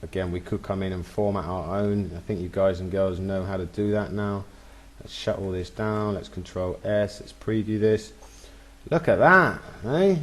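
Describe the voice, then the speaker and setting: A man talks at a moderate pace with a fairly low pitch and ordinary pitch variation. His loudness swings widely. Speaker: software tutorial instructor. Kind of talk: tutorial. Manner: animated.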